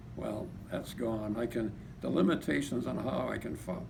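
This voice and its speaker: A moderate pace with audible room echo and noticeable background noise. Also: man. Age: 80s+. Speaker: patient giving testimony. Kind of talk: testimony. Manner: halting.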